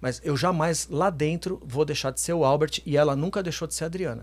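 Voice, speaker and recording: A man's fairly quick delivery with vocal fry and ordinary pitch variation. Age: 50s. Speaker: businessman and reality show contestant; podcast guest. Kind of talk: casual chat. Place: studio. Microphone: studio mic.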